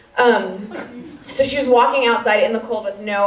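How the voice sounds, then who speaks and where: A woman with a high pitch speaks in an American accent with lively intonation. Noticeable background noise and audible room echo surround her voice. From US Midwest, Chicago. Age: 20s. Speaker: comedian. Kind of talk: stand-up. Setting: stage with audience.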